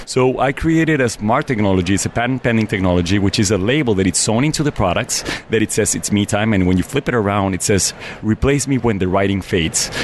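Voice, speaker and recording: A man with a Mexican accent at a very fast pace, with very even loudness, ordinary pitch variation and noticeable background noise. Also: fairly low pitch for a man. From Mexico City. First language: Spanish. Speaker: business owner. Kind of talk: interview.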